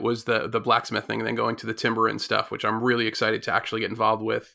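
The tone is bright and sharp, heard on a very clean recording with a silent background. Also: man. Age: 40s. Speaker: maker and educator. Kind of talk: casual chat.

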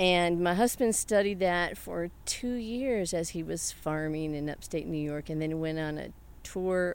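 With an American accent, a woman speaks at a fairly slow pace in a normal speaking voice. Her pitch sits fairly low and varies in an ordinary way. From US South. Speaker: hydroponic tomato farmer. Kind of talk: interview.

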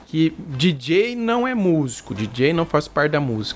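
The voice swings very widely in pitch while music plays in the background. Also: man. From Brazil, Mato Grosso do Sul. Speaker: bass player and channel host. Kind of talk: casual interview. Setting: live stream.

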